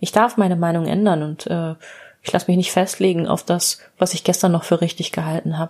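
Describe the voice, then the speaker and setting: An unremarkable speaking voice from a woman, fairly low in pitch with fairly even intonation. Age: 40s. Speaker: psychotherapist and podcast host. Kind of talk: solo storytelling monologue.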